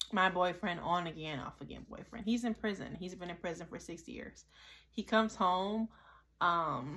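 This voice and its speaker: Her voice is bright and sharp, with vocal fry. The woman has a fairly low pitch and speaks at a moderate pace. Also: ordinary pitch variation, very clean recording, silent background. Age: 30s. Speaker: YouTube vlogger. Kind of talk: casual monologue vlog. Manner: stuttering, repeats words; rambling, off the cuff.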